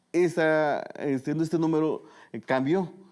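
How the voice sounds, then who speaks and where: A man talks at a fairly high pitch. The recording is very clean, with a silent background. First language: Tu'un Savi (Mixtec) (speaking Spanish). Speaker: journalist. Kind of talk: interview conversation.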